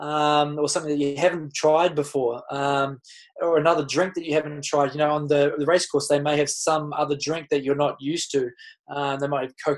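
In a New Zealand accent, a man speaks with monotone, flat intonation. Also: quiet background. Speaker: Olympic triathlete. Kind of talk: casual chat. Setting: video call. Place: home room. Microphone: webcam.

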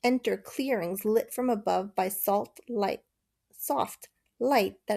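The voice reads in an unforced way with ordinary pitch variation. The background is quiet.

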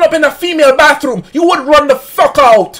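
A man speaks in a raised, projected voice with ordinary pitch variation. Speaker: livestreamer. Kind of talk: casual livestream chat, rant. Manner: loud, drunken birthday rant. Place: home room.

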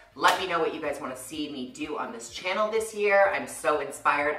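There is audible room echo and light background noise as a woman talks with ordinary pitch variation. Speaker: beauty vlogger. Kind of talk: casual vlog chat. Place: bathroom.

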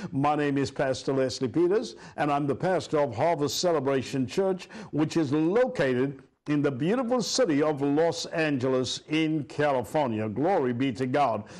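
Against a quiet background, a man keeps his loudness very even, with ordinary pitch variation. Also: moderate pace. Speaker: pastor. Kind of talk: sermon. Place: studio.

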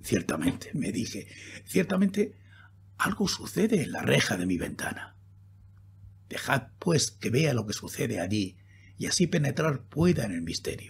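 Speaking at a fairly slow pace with long, frequent pauses, this theatrical voice swings very widely in pitch and carries vocal fry. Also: man, medium pitch for a man. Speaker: audiobook narrator. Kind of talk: dramatic narration of a horror poem, read aloud in an intimate, spooky tone. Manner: slow, hushed, theatrical with suspenseful pauses; intense, solemn, ominous.

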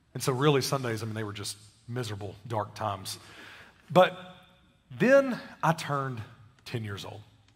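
At a moderate pace, the somewhat breathy speech shows big swings in loudness and long, frequent pauses. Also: man, medium pitch for a man, ordinary pitch variation. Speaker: pastor. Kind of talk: sermon. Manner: casual, conversational.

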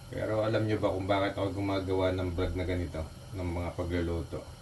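Noticeable background noise and audible room echo surround a man whose very deep, low pitch holds a fairly even intonation. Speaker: cooking vlogger. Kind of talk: cooking tutorial vlog; personal reflection. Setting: home kitchen. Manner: casual, conversational.

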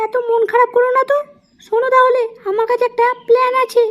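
A woman's cartoonish character voice, extremely high-pitched and flat in intonation, at a fairly quick pace.

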